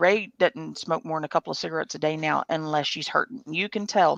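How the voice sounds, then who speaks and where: A woman with an American accent and a fairly low pitch speaks with vocal fry and ordinary pitch variation, the sound dry and close with no echo. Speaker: livestream host. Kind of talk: casual chat. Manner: loud.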